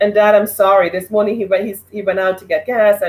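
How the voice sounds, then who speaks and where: This woman speaks in a Trinidadian accent at a medium pitch. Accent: Trinidadian Caribbean. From Trinidad, then New York City. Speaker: online show host. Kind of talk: live stream monologue. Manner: animated.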